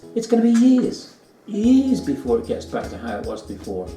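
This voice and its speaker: Over music in the background and audible room echo, a man with an English accent speaks at a moderate pace with very wide pitch swings. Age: 60s. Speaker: vlogger. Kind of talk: casual chat. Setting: at a friend's home over brunch.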